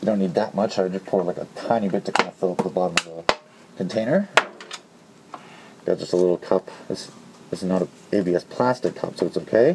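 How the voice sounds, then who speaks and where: Over noticeable background noise, a man with a very deep, low pitch talks very fast with fairly even intonation. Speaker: hobbyist modder, video tutorial maker. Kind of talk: tutorial. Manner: casual with frequent fillers.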